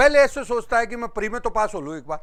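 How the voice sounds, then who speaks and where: A man speaks with a high pitch. The recording is very clean, with a silent background. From Rajasthan, Jhunjhunu district. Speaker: exam coaching teacher. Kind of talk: lecture.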